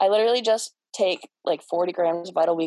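A woman with a Midwestern US accent speaks at a moderate pace, her fairly low voice dark and mellow in tone. The sound is dry and close with no echo, and the background is quiet. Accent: US Midwest. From Cleveland, Ohio. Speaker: bodybuilder. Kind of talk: casual chat.

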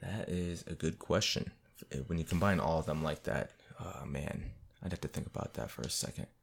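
Very deep and low in pitch with vocal fry, a man talks at a fairly quick pace with ordinary pitch variation. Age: 20s. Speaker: podcast co-host. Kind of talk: casual chat.

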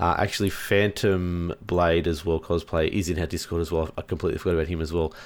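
Very fast speech from a man with very deep, low pitch and a monotone, flat intonation, on a very clean recording with a silent background. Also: hardly any pauses. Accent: Australian. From Australia. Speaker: gaming podcast co-host. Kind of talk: casual chat.

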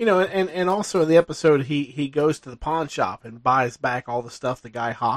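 A man with an unremarkable speaking voice and a fairly high pitch talks at a fairly quick pace with hardly any pauses, lively intonation and big swings in loudness, on a dry, close recording with no echo. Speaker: co-host. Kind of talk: casual chat.

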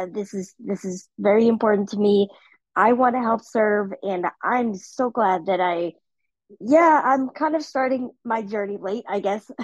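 Speaking at a fairly slow pace, a woman uses a plain, everyday voice with a fairly high pitch and ordinary pitch variation. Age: 30s. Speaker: discussion facilitator. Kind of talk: casual panel discussion.

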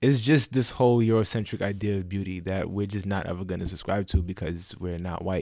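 A man with a New York accent speaks at a fairly quick pace in a fairly low pitch, his tone dark and mellow. The recording is very clean, with a silent background. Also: ordinary pitch variation. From Bronx, New York. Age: 20s. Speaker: project coordinator and fraternity member. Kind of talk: casual chat.

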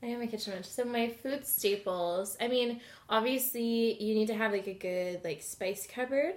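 A woman with a western Canadian accent talks at a moderate pace and a fairly high pitch, with ordinary pitch variation. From Alberta, Edmonton. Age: 20s. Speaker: podcast guest. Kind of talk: casual chat. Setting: home kitchen table.

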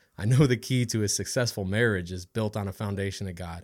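A very fast man with an American accent, a fairly low pitch and fairly even intonation, recorded very cleanly over a silent background. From Ohio, Cleveland area. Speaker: Army soldier. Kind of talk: casual chat.

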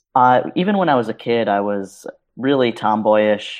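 A man with an ordinary speaking voice and an American accent, medium in pitch, fairly slow, with ordinary pitch variation. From New York City. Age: 30s. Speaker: web designer. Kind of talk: casual interview.

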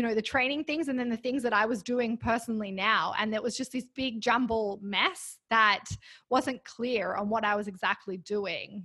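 A woman with an Australian accent speaks at a moderate pace. Her tone is bright and sharp, her pitch variation ordinary. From Australia (Canberra). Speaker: women's fitness coach. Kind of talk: casual chat.

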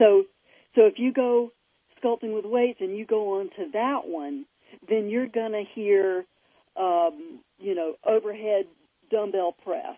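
A woman speaks at a fairly slow pace with a fairly high pitch. Her intonation is lively, with long, frequent pauses. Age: 60s. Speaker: fitness website founder. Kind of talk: interview. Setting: outdoors on patio.

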